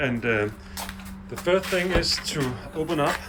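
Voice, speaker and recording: Amid noticeable background noise, a man talks at a fairly slow pace with lively intonation. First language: not English. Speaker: DIY car repair video maker. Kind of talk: tutorial. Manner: halting, many fillers.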